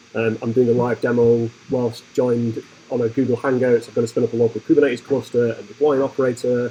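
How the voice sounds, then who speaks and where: Amid noticeable background noise, a man speaks very fast at a medium pitch with monotone, flat intonation. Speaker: tech conference speaker. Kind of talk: tech talk. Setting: meetup with live audience.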